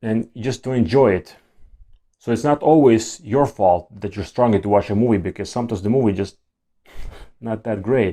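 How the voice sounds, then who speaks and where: A man with a non-native accent speaks in a dark, mellow tone with ordinary pitch variation. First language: not English. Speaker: YouTuber talking about ADHD. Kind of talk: casual monologue to camera. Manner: halting, with repeated words and restarts.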